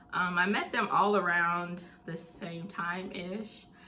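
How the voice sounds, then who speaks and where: A woman at a medium pitch speaking at a very slow pace in a Southern US accent. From US South (Tennessee and Mississippi). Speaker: mental health channel host. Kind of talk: casual vlog Q&A.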